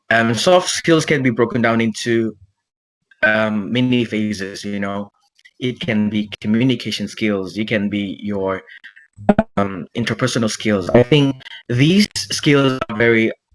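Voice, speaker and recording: Music plays in the background as a man talks at a fairly slow pace. His pitch is medium, with ordinary variation. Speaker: language student. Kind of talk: speaking exam answers. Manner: halting.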